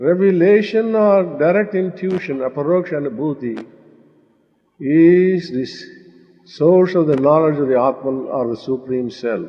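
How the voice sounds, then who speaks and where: Using lively intonation and a fairly high pitch, a man with an Indian accent speaks at a fairly slow pace. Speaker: spiritual teacher. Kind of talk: spiritual discourse.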